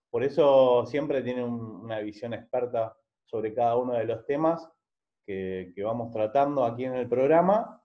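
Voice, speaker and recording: Here a man with an Argentine accent speaks at a medium pitch and a moderate pace. His pitch variation is ordinary, and the background is quiet. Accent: Rioplatense Argentine Spanish. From Argentina. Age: 40s. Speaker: journalist. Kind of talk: interview. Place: home room. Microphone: video call.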